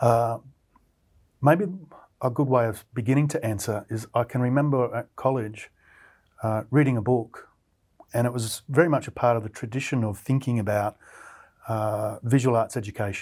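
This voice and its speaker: A man speaks at a medium pitch with an Australian accent and fairly even intonation. His pace is moderate, broken by long, frequent pauses. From central Queensland, Australia. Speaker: artist and art lecturer. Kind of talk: interview conversation.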